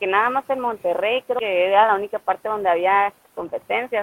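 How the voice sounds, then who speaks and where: A woman with a fairly high pitch and a plain, everyday voice. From Mexico, Ciudad Obregón, Sonora. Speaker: CrossFit athlete. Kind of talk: casual interview.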